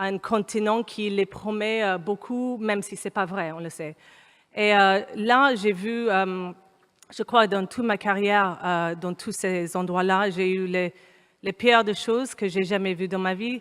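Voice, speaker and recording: A woman's medium-pitched voice with an English accent, very slow pace and fairly even intonation. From Kenya. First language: English (speaking French). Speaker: humanitarian consultant, panel speaker. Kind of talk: panel talk. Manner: hesitant, many fillers.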